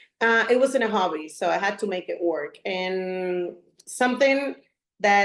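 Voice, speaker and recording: Her delivery is fairly slow. This woman's pitch rises and falls in an ordinary way. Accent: Puerto Rican. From Puerto Rico, west side. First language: Spanish. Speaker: real estate agent and business coach. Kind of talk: presentation. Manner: slightly halting, self-correcting.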